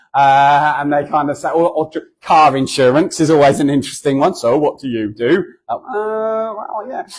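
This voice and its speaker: This man speaks with a southern English accent and a fairly high pitch. His intonation is lively. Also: moderate pace. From southern England. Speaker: charity founder and guest speaker. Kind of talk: church talk. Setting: church. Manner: conversational, hesitant with fillers.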